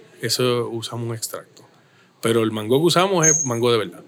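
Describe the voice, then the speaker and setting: This man talks at a fairly quick pace with a medium pitch. He has a plain, everyday voice. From Puerto Rico, Caguas. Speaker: brewery owner. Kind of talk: casual interview.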